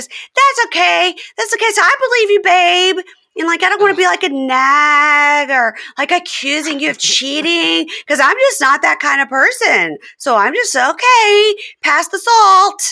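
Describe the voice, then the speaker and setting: In a put-on character voice, the speaker whines at an extremely high pitch with a whiny tone and moderate pace, on a very clean recording with a silent background. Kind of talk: casual, mock-sweet. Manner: whiny, nagging.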